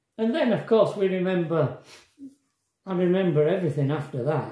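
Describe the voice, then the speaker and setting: A man speaks against a quiet background with audible room echo. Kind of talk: casual vlog storytelling. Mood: reflective, emotional recounting. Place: kitchen. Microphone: phone near.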